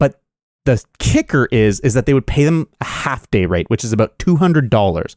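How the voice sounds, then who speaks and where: This is a man with an ordinary speaking voice at a medium pitch and lively intonation. He keeps a moderate pace, and the sound is dry and close with no echo. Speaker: podcast host. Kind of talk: casual comedic banter.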